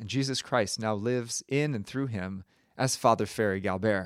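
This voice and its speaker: At a moderate pace, a man talks in a normal speaking voice with ordinary pitch variation. The recording is very clean, with a silent background. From Connecticut, US. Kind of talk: homily at a first Mass. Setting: church, preaching to a congregation. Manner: solemn, rhetorical, building tension before a reveal; earnest, urgent, exhorting.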